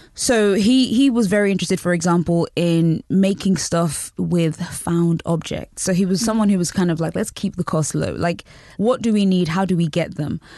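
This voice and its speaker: A woman with a British accent speaks in a dark, mellow tone. Her pace is moderate and her pitch varies in an ordinary way. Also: fairly low pitch for a woman, very even loudness, quiet background. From Britain and Nigeria. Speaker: journalist. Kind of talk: interview. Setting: studio.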